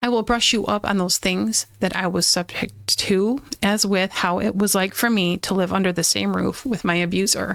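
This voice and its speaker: A woman's medium-pitched voice with vocal fry, very even loudness, a moderate pace, and hardly any pauses. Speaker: podcaster sharing personal abuse story. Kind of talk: personal testimony. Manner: halting, stumbling over words.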